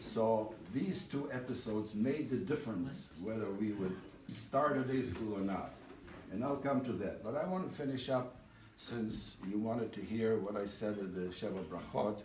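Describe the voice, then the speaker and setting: Against noticeable background noise and audible room echo, a man talks at a moderate pace with a medium pitch and ordinary pitch variation. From Eastern Europe. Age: 80s+. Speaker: speaker at a community dinner. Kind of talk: speech.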